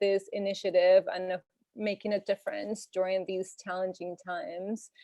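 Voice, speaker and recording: With a Spanish accent, a woman speaks in a monotone, flat intonation. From Venezuela. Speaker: health and nutrition coach. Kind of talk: informal presentation.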